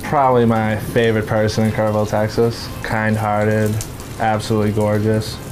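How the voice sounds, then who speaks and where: With a Boston accent, a fairly low-pitched man speaks at a fairly quick pace in a monotone, flat intonation. Audible room echo and noticeable background noise fill the recording. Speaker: recovering addict. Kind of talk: casual chat.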